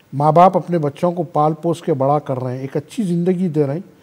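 In a dark, mellow tone, a man with a fairly high pitch talks at a moderate pace with ordinary pitch variation. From India. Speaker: comedian and actor; comedian guest. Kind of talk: interview. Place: studio. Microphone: lapel.

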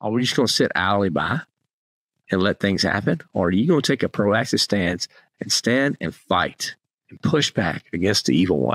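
With very wide pitch swings, a man of fairly low pitch speaks at a moderate pace, the sound dry with no echo and the background quiet. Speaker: podcast host. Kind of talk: podcast monologue, exhortation. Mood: earnest, encouraging. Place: home room. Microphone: studio mic.

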